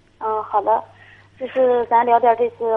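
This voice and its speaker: A woman speaks at a fairly high pitch in a monotone, flat way. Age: 20s. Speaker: caller, young mother. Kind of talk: phone-in conversation. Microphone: too quiet at first.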